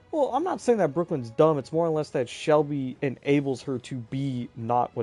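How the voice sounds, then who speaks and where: Music runs in the background under an animated voice. Pace is moderate and pitch variation ordinary. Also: man. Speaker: gaming streamer. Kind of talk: casual chat. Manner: loud.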